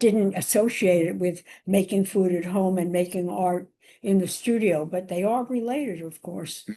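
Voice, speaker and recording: A woman's medium-pitched voice with a dark, mellow tone and an American accent, with ordinary pitch variation, at a fairly slow pace over a quiet background. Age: 80s+. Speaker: chef and cookbook author. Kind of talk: interview answer.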